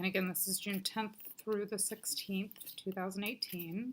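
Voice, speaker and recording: A woman's medium-pitched voice with noticeable background noise. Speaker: psychic card reader and energy healer. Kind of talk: weekly card reading tutorial. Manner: casual, hesitant with fillers.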